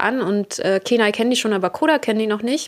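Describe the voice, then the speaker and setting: In an ordinary speaking voice, a woman talks at a fairly quick pace, her fairly high pitch moving with ordinary variation. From Berlin, Germany. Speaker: podcast host. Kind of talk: casual monologue.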